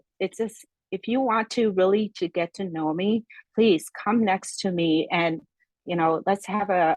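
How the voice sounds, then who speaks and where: A woman with a Korean accent, ordinary pitch variation, and a dry, close sound with no echo. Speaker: podcast guest. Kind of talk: casual interview conversation. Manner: halting.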